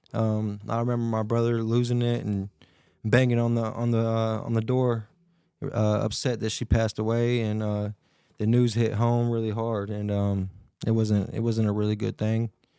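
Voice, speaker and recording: Speaking with a Tennessee accent, a man has a dark, mellow tone at medium pitch, delivered in a monotone, flat intonation. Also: moderate pace. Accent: Southern US (Tennessee). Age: 20s. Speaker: podcast guest. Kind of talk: casual interview chat.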